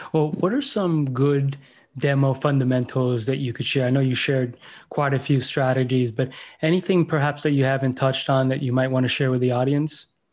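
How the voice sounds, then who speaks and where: A man with an American accent talks at a fairly quick pace in a plain, everyday voice. His pitch is medium, his intonation fairly even, and his loudness very even. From Miami, Florida. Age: 40s. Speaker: podcast host. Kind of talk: interview.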